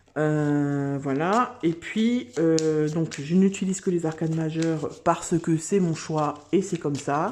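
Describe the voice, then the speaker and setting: Speaking at a very slow pace, a woman uses a fairly low voice with ordinary pitch variation. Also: hardly any pauses. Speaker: tarot card reader. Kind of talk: tarot reading video. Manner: hesitant, many filler words.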